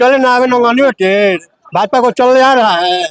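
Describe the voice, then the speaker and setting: A man's voice with ordinary pitch variation, dry and close with no echo. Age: old. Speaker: voter interviewed on the street. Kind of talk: street interview, political opinion. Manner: animated, emphatic with repetition.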